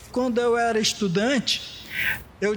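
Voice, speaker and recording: A man's extremely high voice with ordinary pitch variation, over noticeable background noise. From Brazil, Goiás / Federal District (Brazlândia). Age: 60s. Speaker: artisan. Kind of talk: interview testimony. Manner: halting, with fillers.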